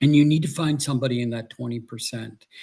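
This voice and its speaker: Speaking at a fairly quick pace, a man sounds somewhat breathy. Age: 60s. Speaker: author and Navy veteran. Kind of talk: interview.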